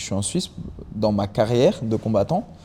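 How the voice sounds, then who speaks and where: The man talks fairly quickly. His voice sits at a medium pitch. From France and Mexico. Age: 20s. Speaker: MMA fighter. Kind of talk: podcast interview. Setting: fighting gym. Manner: hesitant, repeats words.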